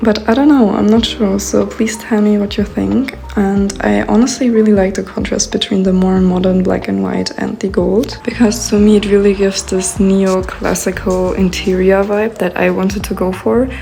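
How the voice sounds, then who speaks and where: A woman talking with hardly any pauses over noticeable background noise. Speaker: lifestyle vlogger. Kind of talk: casual vlog narration. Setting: at home in new apartment. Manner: slow.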